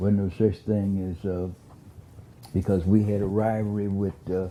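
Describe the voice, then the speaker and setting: Fairly low-pitched and dark, mellow in tone, a man speaks at a fairly slow pace with fairly even intonation. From US South (Beaumont, southeast Texas). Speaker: former county commissioner, oral history interviewee. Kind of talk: oral history interview. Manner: halting, many repetitions and fillers.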